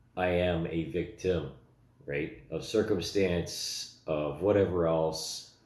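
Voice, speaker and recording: A man with a very deep, low pitch speaks with fairly even intonation amid audible room echo. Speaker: vlogger. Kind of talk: personal commentary monologue. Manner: halting, many fillers.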